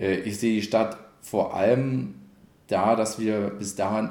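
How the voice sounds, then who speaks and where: A man's medium-pitched voice, dark and mellow in tone, with ordinary pitch variation. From Cottbus, Brandenburg (Lusatia). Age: 30s. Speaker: mayoral candidate. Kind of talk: interview.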